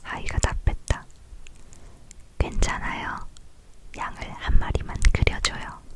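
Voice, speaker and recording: Very slowly, the words come out in a whisper, broken by long, frequent pauses. Background noise is noticeable throughout. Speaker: ASMR creator. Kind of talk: read story, book reading. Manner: soft-spoken.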